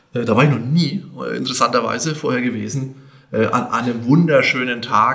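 A man's medium-pitched voice with ordinary pitch variation, audible room echo and noticeable background noise. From Lower Franconia, Bavaria (Grabfeld area). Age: 50s. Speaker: bank executive. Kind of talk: podcast interview.

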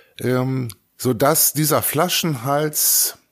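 Here a man speaks at a very slow pace. His pitch is medium, and the recording is very clean with a silent background. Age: 60s. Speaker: school principal. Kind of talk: interview.

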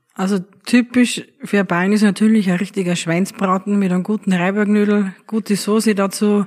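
A woman speaks at a moderate pace. Her pitch is medium and her intonation monotone and flat. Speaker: innkeeper. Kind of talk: interview.

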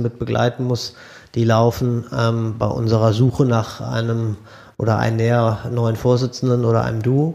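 With a dark, mellow tone and a medium pitch, a man talks at a moderate pace in monotone, flat intonation. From Bielefeld, East Westphalia, Germany. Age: 40s. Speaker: state politician. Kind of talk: interview about political work. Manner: hesitant, many fillers.

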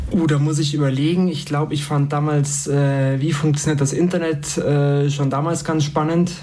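A man with a fairly high pitch talks at a moderate pace with hardly any pauses, very even loudness and a monotone, flat intonation. Noticeable background noise and audible room echo are present. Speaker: university student. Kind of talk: interview.

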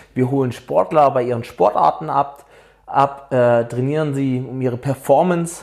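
At a moderate pace, a man speaks at a medium pitch with ordinary pitch variation, an ordinary speaking voice. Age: 30s. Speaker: fitness coach and podcast host. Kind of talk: podcast intro monologue. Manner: casual, with fillers.

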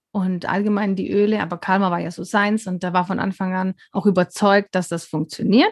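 The delivery is monotone and flat at a moderate pace, with a dry, close sound and no echo. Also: woman. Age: 40s. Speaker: wellness consultant. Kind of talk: casual interview. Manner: hesitant, many fillers.

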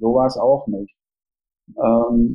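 Dry and close with no echo, this man's voice has a dark, mellow tone and moves at a fairly slow pace. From East Germany, Jena. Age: 50s. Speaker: theatre festival director and author. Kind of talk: interview. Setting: remote call.

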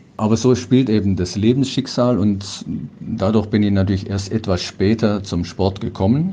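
This man's voice is fairly low, his intonation fairly even and his pace moderate. Noticeable background noise runs underneath. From Ruhr area, western Germany (Dortmund). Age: 60s. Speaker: para-cycling athlete. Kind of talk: interview.

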